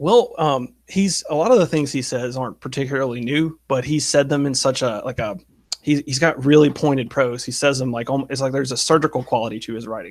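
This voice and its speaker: A man with a Southern US accent, fairly high in pitch, at a fairly quick pace. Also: ordinary pitch variation. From US South. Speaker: online political commentator. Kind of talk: interview conversation.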